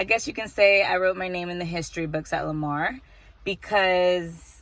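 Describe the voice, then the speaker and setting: On a very clean recording with a silent background, a woman with an American accent speaks fairly quickly at a fairly low pitch with ordinary pitch variation. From Texas. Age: 20s. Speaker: vlogger and college student. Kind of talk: casual vlog monologue. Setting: indoors, rain outside.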